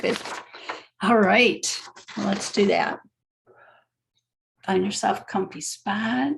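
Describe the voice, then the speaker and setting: A woman speaks very slowly, leaving long, frequent pauses. Her fairly high, somewhat breathy voice has a calm tone and ordinary pitch variation. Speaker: spiritual teacher. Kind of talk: online class talk; guided meditation. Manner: casual, with fillers; slow, calm.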